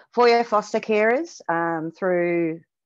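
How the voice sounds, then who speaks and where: Against a quiet background, a woman speaks in a New Zealand accent with ordinary pitch variation. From New Zealand, Auckland. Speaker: animal shelter manager; presenter. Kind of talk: webinar presentation. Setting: video call. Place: home room. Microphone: headset.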